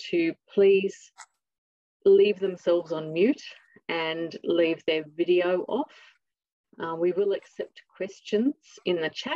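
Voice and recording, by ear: A woman talks slowly with an Australian accent, her pitch fairly low and her tone slightly mellow. The sound is dry and close, with no echo.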